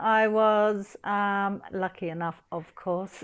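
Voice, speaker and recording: Pitched fairly high, a woman speaks with a New Zealand accent. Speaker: English teacher. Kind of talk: interview answer. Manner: hesitant, casual.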